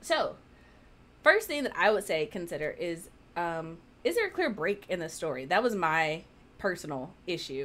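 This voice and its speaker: A woman talks at a moderate pace, with long, frequent pauses. Her fairly low pitch carries lively intonation. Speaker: author and writing chat co-host; writing chat co-host. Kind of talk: casual chat. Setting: livestream with live virtual audience. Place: home room.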